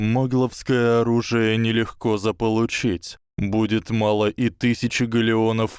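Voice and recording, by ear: A passage is read aloud in a natural voice.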